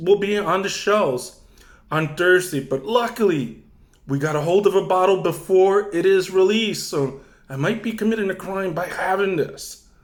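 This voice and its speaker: A man shouts loudly at a high pitch with ordinary pitch variation. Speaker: wine reviewer YouTuber. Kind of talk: casual wine tasting vlog. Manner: loud, near shouting.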